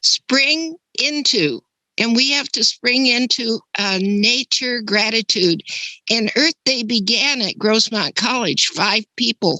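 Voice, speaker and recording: At a very slow pace, a woman speaks with a fairly high pitch, a bright, sharp tone, ordinary pitch variation and very even loudness, in a dry, close sound with no echo. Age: 80s+. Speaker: webinar attendee. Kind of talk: casual chat. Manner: animated.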